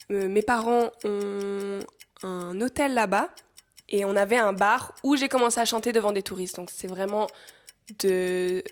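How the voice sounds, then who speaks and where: A woman talks with fairly even intonation and a fairly slow pace. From northern Thailand (Swiss-Thai). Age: 20s. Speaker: singer-songwriter. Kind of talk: casual interview chat.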